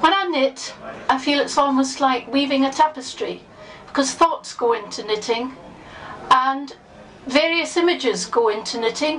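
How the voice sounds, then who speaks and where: A woman speaks at a high pitch with long, frequent pauses. Noticeable background noise sits behind her. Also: ordinary pitch variation, moderate pace. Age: 60s. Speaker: member of the public. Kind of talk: personal testimony.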